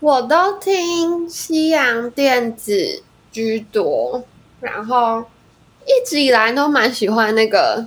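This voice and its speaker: A high-pitched woman at a very slow pace with very wide pitch swings. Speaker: singer-songwriter. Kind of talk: casual chat. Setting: online recording.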